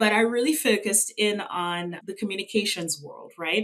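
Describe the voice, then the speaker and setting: With a bright, sharp tone, a woman speaks with a slight Trinidadian accent and ordinary pitch variation. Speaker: revenue consultant. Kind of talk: interview.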